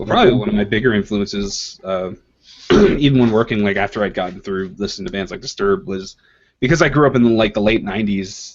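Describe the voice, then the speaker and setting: Fairly low in pitch, a man rattles along at a very fast pace. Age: 20s. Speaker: comic artist. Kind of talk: casual chat.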